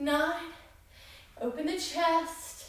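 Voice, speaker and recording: A woman's very slow speech with audible room echo. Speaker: fitness instructor. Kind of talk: workout instruction with counting. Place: home room. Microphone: camera far.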